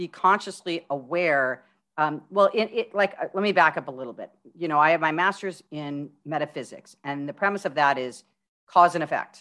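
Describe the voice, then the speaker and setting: An unremarkable speaking voice: a woman with an American accent, fairly low pitch, ordinary pitch variation and a moderate pace. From California desert, US West Coast. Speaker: holistic life coach. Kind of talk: interview.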